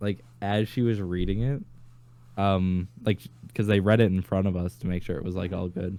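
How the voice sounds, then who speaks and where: A man's very deep, low voice, dark and mellow in tone, at a moderate pace with fairly even intonation. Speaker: podcast co-host. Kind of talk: casual chat.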